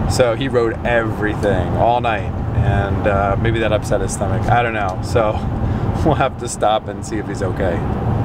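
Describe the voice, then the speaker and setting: Over loud background noise, a man talks at a moderate pace with hardly any pauses, in a dry sound with no echo. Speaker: family vlogger. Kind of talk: casual vlog chat. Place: car. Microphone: phone near.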